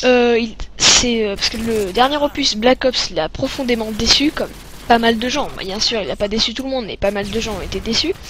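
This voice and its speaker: Noticeable background noise surrounds a woman speaking at a moderate pace. Her pitch is fairly high, with ordinary variation. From France. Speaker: gaming commentator. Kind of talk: gameplay commentary. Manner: hesitant, many fillers.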